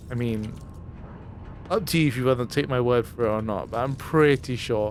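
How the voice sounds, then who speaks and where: A man speaks at a fairly quick pace in an unremarkable speaking voice, medium in pitch, with ordinary pitch variation. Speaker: gaming streamer. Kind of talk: let's play commentary.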